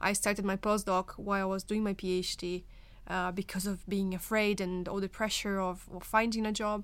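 In a very clean recording with a silent background, a woman with a Portuguese accent speaks fairly quickly at a medium pitch in a monotone, flat intonation. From Brazil. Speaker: nurse turned research fellow. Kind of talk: panel discussion.

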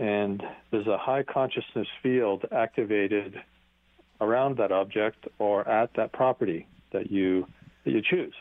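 A plain, everyday voice from a man, fairly low-pitched, at a fairly slow pace, with ordinary pitch variation and very even loudness. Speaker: company founder. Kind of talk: interview.

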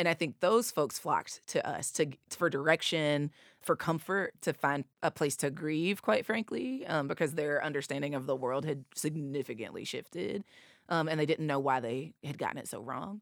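A woman with an Appalachian accent speaks at a moderate pace in a very deep, low pitch, with ordinary pitch variation. The recording is very clean, with a silent background and a dry, close sound with no echo. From US South, East Tennessee. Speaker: nonprofit executive director. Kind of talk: interview.

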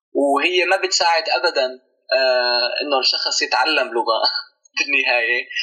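A man's very slow speech at a very even loudness. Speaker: researcher and documentary filmmaker. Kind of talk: interview.

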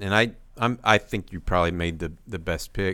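Over a silent background in a very clean recording, a man speaks at a fairly quick pace in a normal speaking voice, his pitch varying in an ordinary way. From Texas, Houston. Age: 50s. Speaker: sports podcast host, recruiting journalist. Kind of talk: casual sports chat.

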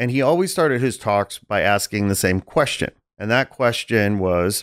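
An unremarkable speaking voice at a moderate pace with lively intonation, on a very clean recording with a silent background. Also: man. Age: 40s. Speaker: podcast host. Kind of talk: casual chat.

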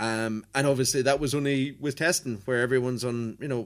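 An ordinary speaking voice from a man, medium in pitch, fairly even in intonation and fairly quick, on a very clean recording with a silent background. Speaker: motorsport journalist. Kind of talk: casual chat. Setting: airport hotel in Ireland.

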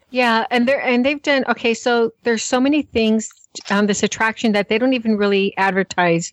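An unremarkable speaking voice belongs to this woman, who talks at a fairly quick pace in a fairly high pitch with ordinary pitch variation and very even loudness, in a dry, close recording with no echo. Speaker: co-host. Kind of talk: casual chat.

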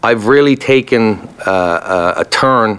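A man speaks with a Newfoundland accent at a medium pitch. His pitch varies in an ordinary way, and there is noticeable background noise. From Newfoundland, Canada. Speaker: military veteran and podcast host. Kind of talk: testimony.

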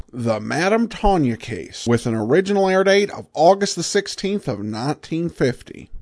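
Over a quiet background, the speaker moves at a fairly slow pace with very wide pitch swings. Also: man. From Boise, Idaho. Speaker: old-time radio show host. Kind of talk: show intro and outro with commentary.

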